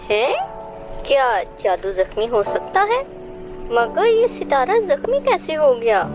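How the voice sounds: A woman performs a cartoonish character voice at a high pitch with big pitch swings. She speaks at a slow pace over faint music in the background.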